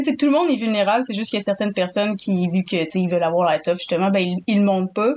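A woman speaks very fast in a Quebec accent, with lively intonation and hardly any pauses. Her pitch is medium, and the background is quiet. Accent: Québécois French. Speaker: podcast co-host. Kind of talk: casual chat.

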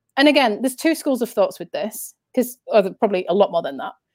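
Recorded very cleanly against a silent background, a woman with a northern English accent speaks with very wide pitch swings. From Yorkshire, northern England. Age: 30s. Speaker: spiritual speaker and author. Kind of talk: casual interview. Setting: live stream.

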